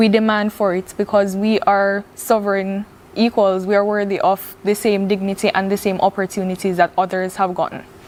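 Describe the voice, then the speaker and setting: A woman with a Jamaican accent, monotone, flat intonation and hardly any pauses. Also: medium pitch for a woman, moderate pace. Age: young. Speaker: visual artist. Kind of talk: TV interview.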